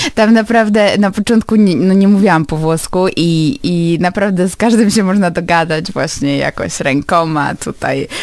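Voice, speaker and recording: A woman speaks in a normal speaking voice at medium pitch. Her pitch varies in an ordinary way, and her pace is moderate. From Poland, Lublin. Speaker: university graduate. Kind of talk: radio interview.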